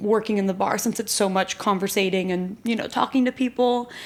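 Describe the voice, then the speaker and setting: This is a plain, everyday voice with an American accent. Its intonation stays fairly even. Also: woman. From Texas, Austin. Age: 20s. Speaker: grad student. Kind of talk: casual chat.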